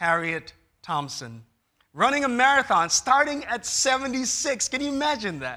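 A man speaks at a moderate pace in a raised, projected voice, bright and sharp in tone, pitched extremely high with very wide swings in pitch. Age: 30s. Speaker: pastor. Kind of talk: sermon. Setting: church.

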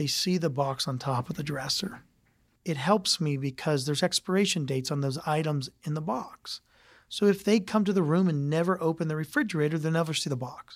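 At a fairly quick pace, a man with an American accent speaks at a fairly high pitch with ordinary pitch variation on a very clean recording with a silent background. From Ohio, US (Youngstown). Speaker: hotel company president. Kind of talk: interview.

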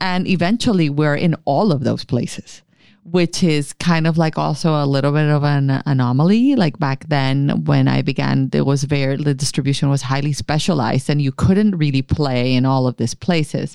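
This voice has a dark, mellow tone, very even loudness, ordinary pitch variation and hardly any pauses. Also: woman, very deep, low pitch for a woman, moderate pace. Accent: Spanish. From Colombia, Caribbean coast (Barranquilla). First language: Spanish. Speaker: skincare company founder. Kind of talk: interview.

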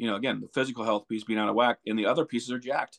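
Speaking at a very fast pace, a man with an American accent comes through with a dry, close sound with no echo over a quiet background. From Montana, US. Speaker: retreat foundation founder. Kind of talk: interview.

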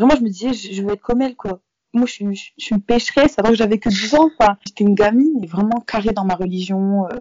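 A woman with a fairly high pitch talks in a normal speaking voice, her pitch varying in an ordinary way. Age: young. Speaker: university student. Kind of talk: interview.

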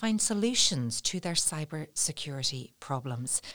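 Very wide pitch swings mark this speaker's Northern Irish accent, captured with a dry, close sound and no echo. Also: woman. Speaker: podcast host. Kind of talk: interview. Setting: studio.

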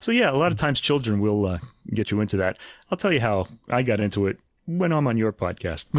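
A man talks at a very fast pace and medium pitch, with very wide pitch swings but very even loudness. The recording is very clean, with a silent background. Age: 50s. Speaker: podcast host. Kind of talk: music commentary; casual chat.

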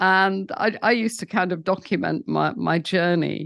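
Against a quiet background, a woman speaks in a southern English accent. Her pitch is medium and her pace fairly slow. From England. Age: 70s. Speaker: founder of a sobriety community. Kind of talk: interview storytelling.

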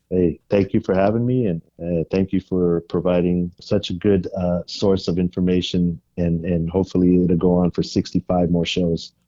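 Speaking with a Californian accent, a man uses a very deep, low pitch at a moderate pace. His intonation is monotone and flat, and his loudness very even. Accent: Californian American. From San Francisco Bay Area, California. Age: 50s. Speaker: fan of the film. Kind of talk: interview. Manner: halting, repeats words.

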